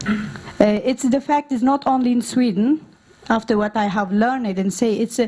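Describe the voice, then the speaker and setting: A woman's fairly high voice with ordinary pitch variation at a moderate pace, over noticeable background noise. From Norway, born in Afghanistan. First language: not English. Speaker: refugee women's activist. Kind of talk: conference talk. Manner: halting, many fillers.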